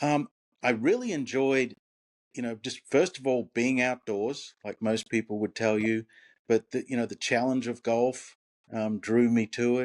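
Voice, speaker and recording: On a very clean recording with a silent background, a man with an Australian accent speaks at a medium pitch and a fairly slow pace, with fairly even intonation. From Australia, Brisbane. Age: old. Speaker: retired golf professional. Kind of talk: interview.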